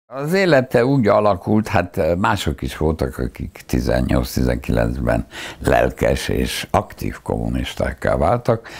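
The background is quiet as a man speaks at a fairly slow pace. His very deep, low voice swings very widely in pitch. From Hungary. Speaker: philosopher, university professor. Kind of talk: oral history interview answer. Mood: reflective, recalling wartime childhood. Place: home room. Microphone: lapel.

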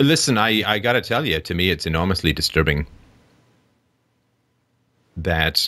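A man with an extremely low pitch speaks in a bright, sharp tone with ordinary pitch variation.

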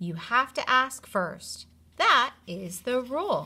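A woman's put-on character voice, fairly high in pitch, with a bright, sharp tone, a slightly husky edge, big pitch swings and a slow pace.

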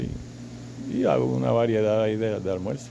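A man's voice over loud background noise. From Colombia, Cartagena; Colombia. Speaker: school storekeeper, industrial engineer. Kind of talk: interview. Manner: halting, many repetitions. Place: office. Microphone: handheld.

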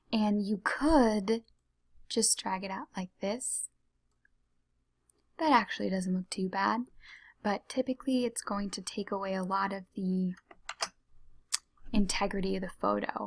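A soft-spoken, somewhat breathy woman at a fairly slow pace, with ordinary pitch variation and long, frequent pauses over a quiet background. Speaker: ASMR tutorial creator. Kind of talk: ASMR tutorial, soft-spoken talk to camera. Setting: computer mouse clicks and typing sounds in background.

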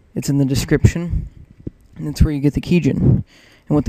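A man speaks quietly at a fairly high pitch. His intonation stays fairly even. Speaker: gaming video editor and tutorial maker. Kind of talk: tutorial. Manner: quiet, subdued; casual, filler-heavy.

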